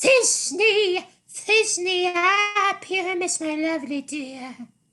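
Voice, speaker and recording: In a put-on character voice, a female-sounding voice squeaks at an extremely high pitch and a very slow pace. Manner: theatrical, over-the-top romantic.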